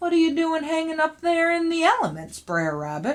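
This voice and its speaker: At a moderate pace, a woman uses a put-on character voice with an extremely high pitch. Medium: read story. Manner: folksy.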